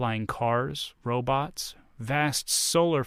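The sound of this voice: The speaker reads in an unforced reading voice whose pitch varies in an ordinary way.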